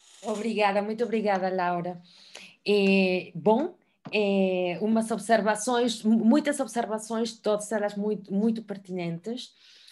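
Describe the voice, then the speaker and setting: A woman at a medium pitch, with fairly even intonation and a fairly slow pace. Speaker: moderator. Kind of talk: panel discussion. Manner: hesitant, many fillers.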